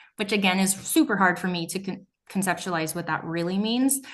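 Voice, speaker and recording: A woman's somewhat breathy voice sits at a medium pitch and moves at a fairly quick pace. The background is quiet. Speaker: meat processor. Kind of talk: presentation.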